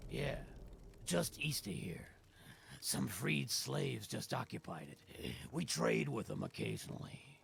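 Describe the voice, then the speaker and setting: A raspy, very deep, low put-on character voice from a man, with long, frequent pauses. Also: moderate pace. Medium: video game.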